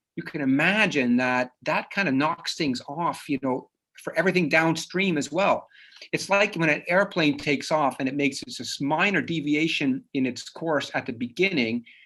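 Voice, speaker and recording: A man with a slight Dutch accent, a fairly high pitch, a bright, sharp tone, ordinary pitch variation and a moderate pace. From Netherlands (Dutch-speaking), moved to Canada at nine. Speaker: psychologist. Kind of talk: lecture. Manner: casual, with many fillers and restarts.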